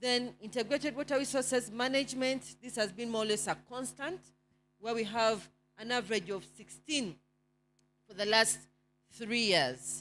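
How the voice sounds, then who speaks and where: A woman with a fairly high pitch speaks through vocal fry, leaving long, frequent pauses. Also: ordinary pitch variation, moderate pace. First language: not English. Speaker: NGO network presenter. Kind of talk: report presentation. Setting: conference with slides. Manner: hesitant, with fillers.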